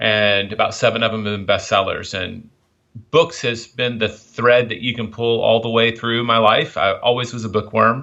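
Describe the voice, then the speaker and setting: Monotone, flat delivery at a moderate pace, with a slight Southern US accent. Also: man. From US South, Memphis, Tennessee. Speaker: author and publisher. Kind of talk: interview.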